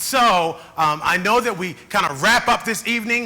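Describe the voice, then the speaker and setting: In a raised, projected voice with a high pitch and ordinary pitch variation, a man speaks at a moderate pace over noticeable background noise. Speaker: keynote speaker. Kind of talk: keynote speech. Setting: conference stage with audience.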